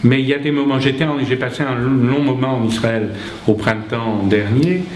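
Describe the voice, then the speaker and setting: A man speaks at a fairly slow pace with ordinary pitch variation. Noticeable background noise and audible room echo are present. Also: medium pitch for a man. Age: 60s. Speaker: lecturer, author. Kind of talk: lecture with Q&A. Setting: conference hall with audience. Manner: animated.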